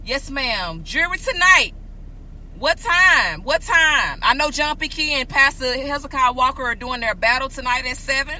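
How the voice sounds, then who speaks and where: A woman with a high pitch uses a raised, projected voice, speaking at a moderate pace in an animated tone with lively intonation. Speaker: podcast host. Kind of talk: casual chat. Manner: loud.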